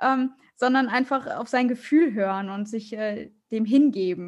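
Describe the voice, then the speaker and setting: A woman's voice with ordinary pitch variation. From northern Germany, Hannover. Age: 20s. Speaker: fashion label founder. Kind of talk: casual interview.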